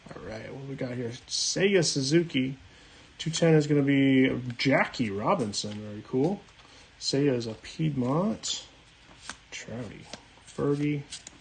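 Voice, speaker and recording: Over noticeable background noise, a man speaks at a fairly slow pace and fairly high pitch, with ordinary pitch variation, big swings in loudness, and long, frequent pauses. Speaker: card-breaking streamer. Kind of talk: live stream card opening. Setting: live stream.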